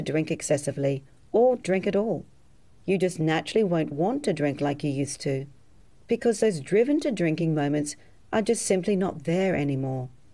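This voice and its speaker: With an Australian accent, a woman speaks at a moderate pace in a fairly low voice with a dark, mellow tone. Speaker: hypnotherapist. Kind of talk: sales pitch.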